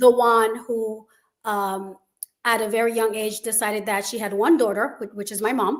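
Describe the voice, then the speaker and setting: A woman with a Haitian accent speaks at a fairly high pitch in a monotone, flat intonation. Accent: Caribbean (Haitian). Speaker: school founder. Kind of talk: interview.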